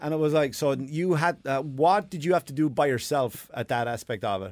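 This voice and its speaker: A man with an Irish accent speaks at a moderate pace with a fairly high pitch. His intonation is lively. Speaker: comedian and podcast host. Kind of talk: casual chat.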